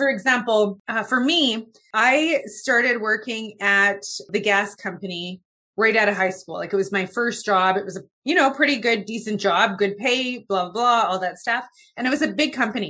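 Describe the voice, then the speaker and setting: A woman with a Canadian accent speaks in a bright, sharp tone at a fairly high pitch. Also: ordinary pitch variation, moderate pace. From Canada, Winnipeg. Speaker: public speaking coach, podcast host. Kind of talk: interview.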